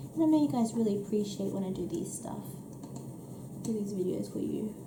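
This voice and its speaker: A woman is speaking. There is audible room echo. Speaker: coloring tutorial creator. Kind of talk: tutorial. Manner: hesitant, many fillers.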